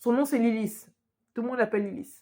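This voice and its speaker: Pitched high, a woman speaks with a dark, mellow tone and ordinary pitch variation. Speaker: YouTuber reviewing a TV series. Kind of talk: casual video review. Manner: fast; loud, projecting.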